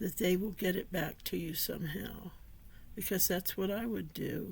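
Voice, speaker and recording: Speaking at a moderate pace, a woman with vocal fry keeps a fairly even intonation. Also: medium pitch for a woman. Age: 60s. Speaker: author and vlogger. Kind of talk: personal vlog monologue.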